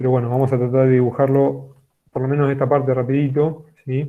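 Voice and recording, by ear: At a fairly quick pace, a man talks at a medium pitch with little pitch movement.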